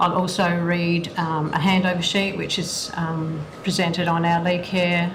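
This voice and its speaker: Speaking with an Australian accent and monotone, flat intonation, a woman is heard amid noticeable background noise and audible room echo. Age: 60s. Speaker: aged care worker. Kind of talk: witness testimony.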